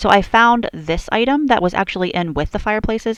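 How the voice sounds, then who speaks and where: An ordinary speaking voice, moderately paced, with lively intonation. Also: woman. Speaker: video game builder. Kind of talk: voiceover commentary. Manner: casual.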